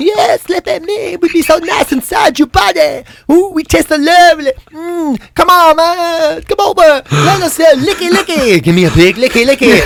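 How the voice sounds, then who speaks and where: A man uses a put-on character voice at an extremely high pitch. He keeps a moderate pace with hardly any pauses. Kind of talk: casual chat on a radio after-show. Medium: role play. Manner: coaxing, sultry.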